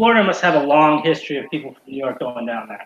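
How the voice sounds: The voice has a fairly bright tone with a slightly husky edge and an American accent. It moves at a fast pace with big pitch swings. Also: man, fairly high pitch for a man.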